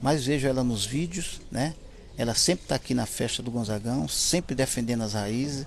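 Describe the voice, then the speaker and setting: Using a normal speaking voice, a man talks at a moderate pace with a medium pitch and ordinary pitch variation. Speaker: musician, relative of a famous singer. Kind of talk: interview.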